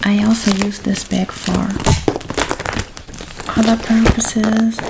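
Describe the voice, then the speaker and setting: A soft-spoken woman talks at a very slow pace in a gentle tone with monotone, flat intonation. Noticeable background noise runs behind her. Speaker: ASMR creator. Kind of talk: ASMR show-and-tell talk to camera. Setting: lo-fi, close-mic home recording. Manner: soft-spoken, gentle.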